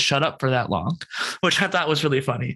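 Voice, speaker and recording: Here a man with an American accent sounds animated. His tone is bright and sharp. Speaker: content creator and podcast host. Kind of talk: interview conversation. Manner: fast, rapid-fire.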